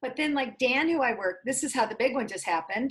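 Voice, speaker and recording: Speaking with an American accent, the woman has a high-pitched voice. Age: 60s. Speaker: small business founder. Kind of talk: interview.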